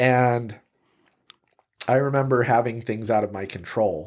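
A man with an American accent speaks in a relaxed tone at a medium pitch and moderate pace, with ordinary pitch variation. The recording is very clean, with a silent background. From Utah, Salt Lake City. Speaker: real estate agent. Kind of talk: interview conversation.

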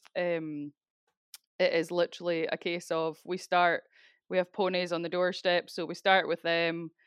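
A woman with a Scottish accent, fairly low in pitch, at a moderate pace with monotone, flat intonation. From Scotland, Speyside. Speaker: crofter and rural business owner. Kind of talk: interview.

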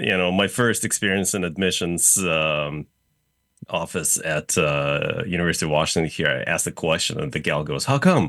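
Bright and sharp in tone, a man speaks with a slight Russian accent at a very deep, low pitch. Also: ordinary pitch variation, moderate pace. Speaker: real estate developer. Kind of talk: casual interview. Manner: hesitant, many fillers.

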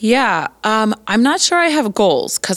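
A woman with an American accent speaks in a normal speaking voice at a fairly slow pace with lively intonation, the sound dry and close with no echo. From Colorado, US. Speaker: Bible college professor. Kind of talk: interview.

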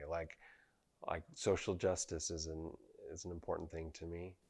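Over a quiet background, a man with a Utah accent speaks in a very deep, low pitch. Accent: American, Utah. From Utah (Provo). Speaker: painter and sculptor. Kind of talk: casual chat.

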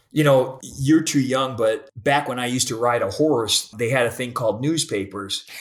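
Here a man with a medium pitch, an unremarkable speaking voice, talks at a moderate pace with hardly any pauses. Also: ordinary pitch variation. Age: 50s. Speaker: podcast host. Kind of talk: podcast interview.

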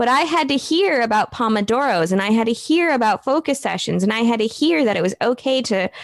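A woman with an American accent talks at a fairly quick pace, high in pitch with lively intonation. The sound is dry and close, with no echo. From US Midwest. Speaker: copywriter and marketing business owner. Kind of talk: casual interview.

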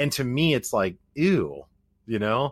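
In a very clean recording with a silent background and a dry, close sound with no echo, a man with an American accent speaks at a fairly slow pace with very wide pitch swings and vocal fry. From US Midwest, Springfield, Missouri. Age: 30s. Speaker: podcast host. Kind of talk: casual chat.

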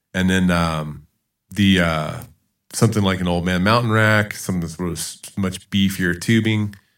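An ordinary speaking voice in an American accent moves at a moderate pace with ordinary pitch variation, in a very clean recording with a silent background. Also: man. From US South, Charleston, South Carolina. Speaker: physics teacher and mountain bike advocate. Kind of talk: casual chat.

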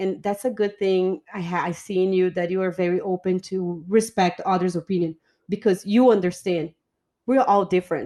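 In a Portuguese accent, a woman with a dark, mellow tone and medium pitch speaks at a moderate pace with fairly even intonation against a quiet background. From Brazil. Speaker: podcast host. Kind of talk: casual chat. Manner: joking, laughs often.

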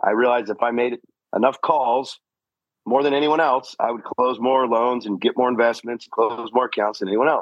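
A man speaks at a medium pitch and a fairly quick pace. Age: 40s. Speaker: fatherhood coach. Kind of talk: casual chat. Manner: animated.

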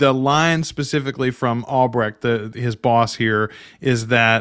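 On a very clean recording with a silent background, a man speaks at medium pitch and a fairly slow pace with ordinary pitch variation. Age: 40s. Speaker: podcast host. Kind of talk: casual chat.

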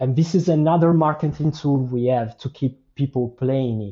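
A man speaks at a medium pitch and a moderate pace, with ordinary pitch variation. His voice is somewhat breathy. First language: not English. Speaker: game and NFT project creator. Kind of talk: casual interview chat. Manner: halting, many fillers.

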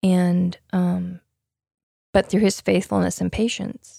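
The sound is dry and close with no echo as a woman speaks with an American accent. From US West, Utah. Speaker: nurse, parent. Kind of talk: casual interview. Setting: walk-in closet at home.

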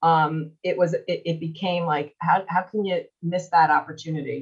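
Somewhat breathy, a woman speaks with an American accent at a fairly slow pace. Her pitch is fairly low and her intonation fairly even. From US Northeast, Long Island, New York. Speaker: radio market manager. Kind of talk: interview. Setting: live online audio room.

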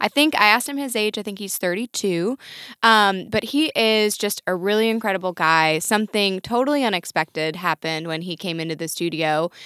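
Recorded very cleanly against a silent background, the sound is dry and close with no echo. A woman with an American accent speaks at medium pitch in a bright, sharp tone with lively intonation. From Michigan, small town. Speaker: podcast co-host. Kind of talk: casual interview.

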